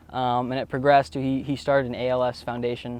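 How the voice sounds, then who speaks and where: A man with a Florida accent, medium in pitch, fairly quick in pace and monotone, flat in intonation. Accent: American, Florida. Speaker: college tennis player. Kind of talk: interview. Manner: hesitant, many fillers.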